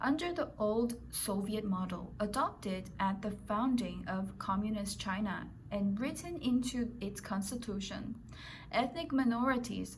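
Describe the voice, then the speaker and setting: With a non-native accent, a woman speaks at a fairly slow pace. Her pitch variation is ordinary, and vocal fry is present. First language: non-native English speaker. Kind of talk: news article read aloud.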